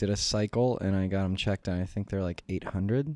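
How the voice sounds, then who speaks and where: A man's fairly low voice with a dark, mellow tone, on a very clean recording against a silent background. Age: 30s. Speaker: podcast co-host. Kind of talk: casual chat.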